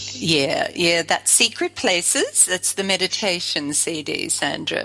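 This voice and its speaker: With music in the background, a woman in an Australian accent talks at a fairly slow pace. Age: 60s. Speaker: spiritual life coach, musician. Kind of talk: interview.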